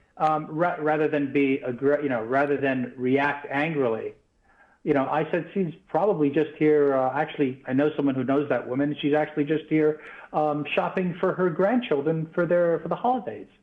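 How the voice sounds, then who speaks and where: A man's fairly high voice, with ordinary pitch variation, keeps to a moderate pace. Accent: New York. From New York, US. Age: 50s. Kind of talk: live TV interview. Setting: remote link from New York.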